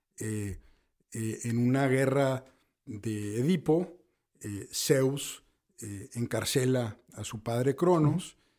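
Speaking at a very slow pace, a man with a medium pitch and a dark, mellow tone uses ordinary pitch variation, and his loudness swings widely. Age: 60s. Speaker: business consultant and professor. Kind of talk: casual interview. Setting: studio.

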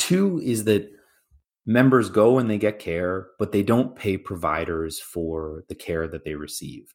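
Here is a man with an unremarkable speaking voice and lively intonation. He talks at a fairly slow pace. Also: fairly low pitch for a man. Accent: Canadian. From Canada. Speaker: healthcare company sales executive. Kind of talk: professional interview.

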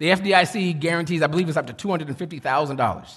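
Over a quiet background, a man speaks in an animated tone with ordinary pitch variation. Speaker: pastor. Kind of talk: sermon. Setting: church.

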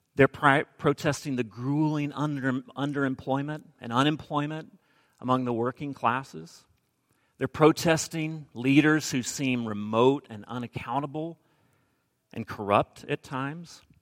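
A man with a normal speaking voice talks at a fairly slow pace and a fairly high pitch, with fairly even intonation but big swings in loudness. The sound is dry and close with no echo. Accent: American. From Alabama, US South. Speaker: preacher. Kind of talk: sermon.

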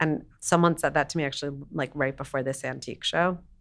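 An American woman's bright, sharp voice with vocal fry, fairly even intonation and a fairly quick pace, on a very clean recording with a silent background. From New York City. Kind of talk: casual chat.

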